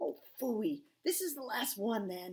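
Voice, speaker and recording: In a put-on character voice, a woman speaks fairly slowly at a high pitch with very wide pitch swings. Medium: read story. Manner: grumbling, exclamatory.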